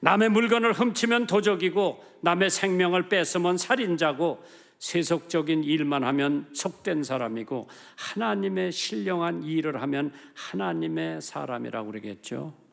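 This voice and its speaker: A man with a fairly high pitch talks in very wide pitch swings. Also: fairly slow pace. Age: 80s+. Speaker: pastor. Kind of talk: sermon. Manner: animated.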